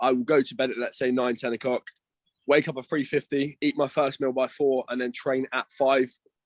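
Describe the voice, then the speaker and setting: Speaking at a fairly quick pace, a man with a southern English accent talks at a medium pitch in a monotone, flat intonation, the sound dry and close with no echo. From Isle of Wight, southern England. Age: 20s. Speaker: online fitness coach and bodybuilder. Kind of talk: casual chat.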